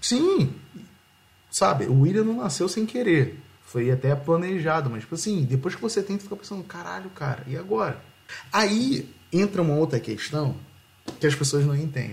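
Speaking at a moderate pace, the voice swings very widely in pitch and leaves long, frequent pauses. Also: man, fairly high pitch for a man. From Rio de Janeiro, Brazil. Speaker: podcast host. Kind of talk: casual chat.

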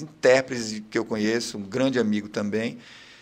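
An unremarkable speaking voice with fairly even intonation at a fairly quick pace. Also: man. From Pará, Brazil (Capanema, Bragança). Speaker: songwriter and TV news presenter. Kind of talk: casual interview. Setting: studio, live video stream.

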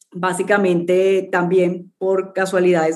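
The dark, mellow voice of a woman sits at a medium pitch. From Colombia, Cartagena. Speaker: startup founder and CEO. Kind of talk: interview.

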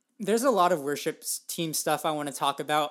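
A very clean recording with a silent background carries speech at a moderate pace. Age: 30s. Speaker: podcast co-host, new parent. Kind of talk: casual chat.

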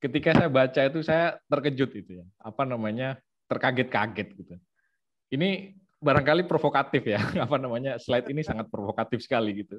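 A man speaks at a very fast pace and medium pitch, his loudness swinging widely while his pitch varies in an ordinary way. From Situbondo, East Java, Indonesia. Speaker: ethnomusicologist researcher. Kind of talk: online lecture with slides.

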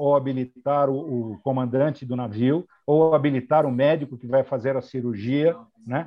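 A man's normal speaking voice, fairly high in pitch, at a fairly slow pace. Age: 60s. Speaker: airline pilot and flight training coordinator. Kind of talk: interview.

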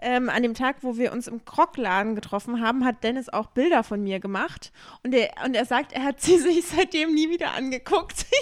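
A woman's high-pitched voice at a moderate pace, lively in intonation, on a very clean recording with a silent background. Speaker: podcast co-host. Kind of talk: casual chat. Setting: at co-host's home.

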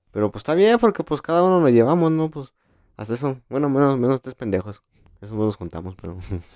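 A man speaks at a very fast pace and a medium pitch. His pitch swings very widely, and his loudness rises and falls a great deal. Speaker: podcast co-host, student. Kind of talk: casual chat.

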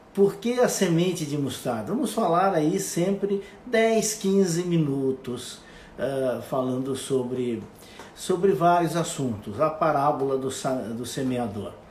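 Pitch swings very widely as the speaker talks at a very slow pace. The room echo is audible, and background noise is noticeable. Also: man, fairly high pitch for a man. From Brazil, western Santa Catarina. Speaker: radio host. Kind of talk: casual monologue. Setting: Instagram live video. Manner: halting.

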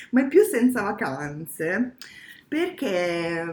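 This woman's voice swings very widely in pitch. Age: 30s. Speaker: podcast co-host. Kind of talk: casual chat.

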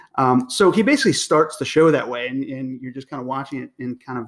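A man with a normal speaking voice, fairly high in pitch and fairly quick, on a very clean recording with a silent background. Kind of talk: casual chat.

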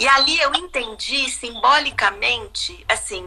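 Noticeable noise sits in the background. A woman talks over it. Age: 50s. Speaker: visual artist and art educator. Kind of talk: casual chat. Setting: live video stream from home.

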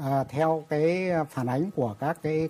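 The man's speech shows ordinary pitch variation. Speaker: industry association chairman. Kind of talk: panel discussion. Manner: halting.

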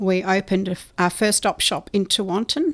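Speaking with an Australian accent, a woman uses a medium pitch and ordinary pitch variation. The recording is very clean, with a silent background. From South Australia. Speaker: hospice charity chair. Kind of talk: interview. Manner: hesitant with fillers.

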